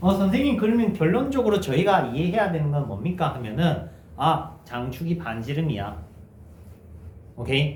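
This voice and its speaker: A man with a fairly high pitch and vocal fry swings very widely in pitch, leaving long, frequent pauses amid audible room echo. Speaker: math teacher. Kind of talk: lecture. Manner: conversational, checking questions.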